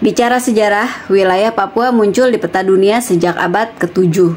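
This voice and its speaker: Background noise is noticeable. Pitch variation is ordinary. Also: woman. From West Java (Sukabumi), Chinese-Indonesian. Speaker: YouTuber. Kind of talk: casual vlog storytelling. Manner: casual with fillers.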